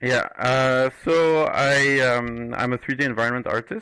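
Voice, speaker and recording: A man speaks with a Moroccan accent in a bright, sharp tone and fairly even intonation. The recording is very clean, with a silent background. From Morocco. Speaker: 3D environment artist. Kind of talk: podcast interview. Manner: hesitant, many fillers.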